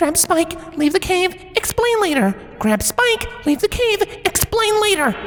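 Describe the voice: A man puts on a character voice, extremely high-pitched, with big pitch swings and a fairly bright tone. He goes at a fairly slow pace over faint background noise.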